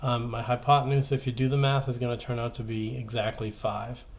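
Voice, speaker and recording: A man's somewhat breathy, medium-pitched voice with fairly even intonation. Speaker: high school math teacher. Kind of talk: tutorial. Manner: fast.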